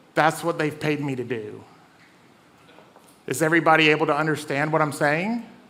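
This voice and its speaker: With a Southern US accent, a man talks at a fairly high pitch in a room with audible echo. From US South. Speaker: comedian and event host. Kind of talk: stand-up hosting. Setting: stage with audience.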